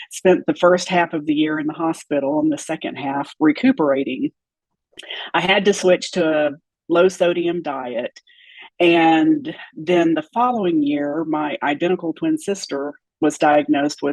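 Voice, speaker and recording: Fairly slow speech from a woman with a plain, everyday voice, ordinary pitch variation, and a dry, close sound without echo. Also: fairly low pitch for a woman. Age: 60s. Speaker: former nutrition client sharing health journey. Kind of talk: interview testimony.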